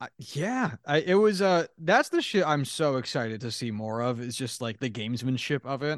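Recorded with a dry, close sound and no echo, a man with a fairly high pitch and an unremarkable speaking voice talks at a moderate pace with lively intonation and hardly any pauses. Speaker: sports podcast co-host. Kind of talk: casual chat.

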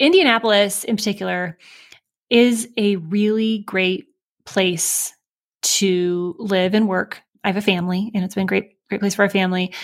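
A woman with an American accent talks at a moderate pace and with fairly even intonation on a very clean recording with a silent background. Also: medium pitch for a woman. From Michigan, US Midwest. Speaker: tech startup CEO. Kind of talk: interview conversation.

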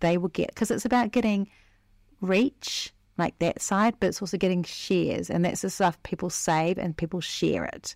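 A woman at a medium pitch speaks with vocal fry and ordinary pitch variation, the sound dry and close with no echo in a very clean recording with a silent background. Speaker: marketing coach and podcast host. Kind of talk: solo podcast tutorial. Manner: fast.

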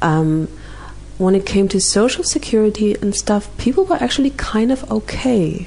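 A woman speaks at a moderate pace with a German accent. Background noise is noticeable. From rural East Germany. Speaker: interview guest sharing mental health story. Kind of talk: personal testimony in interview. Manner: hesitant with many fillers.

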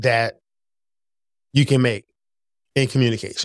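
A man with a Philadelphia accent, dry and close with no echo, on a very clean recording against a silent background. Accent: Philadelphia American English. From Philadelphia, US. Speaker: podcast host, engineering leadership coach. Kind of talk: solo podcast monologue.

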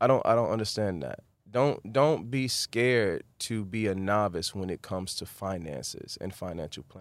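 A man with an American accent speaks in a plain, everyday voice at a fairly low pitch and moderate pace, with lively intonation, big swings in loudness and hardly any pauses, in a very clean recording with a silent background. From Miami, Florida (Carol City / Opa-locka). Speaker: actor. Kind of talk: interview.

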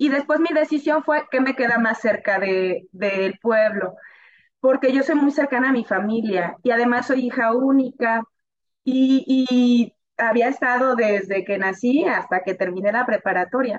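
A woman speaks at a high pitch with ordinary pitch variation and very even loudness. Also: fairly slow pace. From Mexico, northern Veracruz. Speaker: computer science professor and researcher. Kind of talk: interview conversation.

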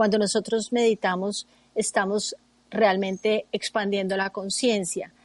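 A woman's medium-pitched, flat monotone at a fairly slow pace, dry and close with no echo. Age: 50s. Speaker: meditation teacher and therapist. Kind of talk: radio interview.

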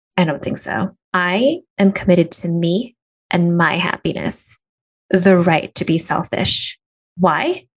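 A somewhat breathy woman speaks at a medium pitch. Her pace is very slow. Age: 30s. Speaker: business and career coach, podcast host. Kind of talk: solo podcast monologue, motivational coaching.

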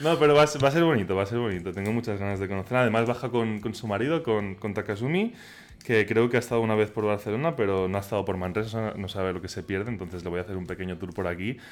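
A man's fairly low voice, very fast pace, ordinary pitch variation. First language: Catalan (speaking Spanish). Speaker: podcaster about Japan. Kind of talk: casual chat. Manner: halting.

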